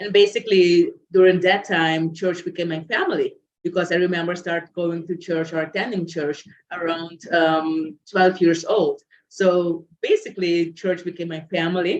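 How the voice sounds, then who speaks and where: This woman speaks in a Curaçao accent. Her fairly low voice stays monotone and flat. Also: moderate pace. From Curaçao, Dutch Caribbean. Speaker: guest speaker. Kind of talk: interview, personal story. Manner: frequent filler 'um'.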